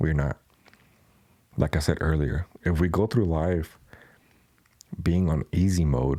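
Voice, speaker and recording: In a Spanish accent, a man speaks with a very deep, low pitch and fairly even intonation, in a dry, close sound with no echo. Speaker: podcast host and tattoo artist. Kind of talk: casual Q&A podcast monologue.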